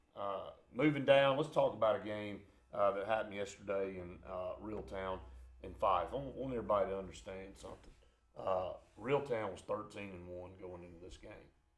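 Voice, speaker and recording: A man at a fairly quick pace, with big swings in loudness, audible room echo and music in the background. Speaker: sports radio co-host. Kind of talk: sports talk show. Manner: halting, many fillers.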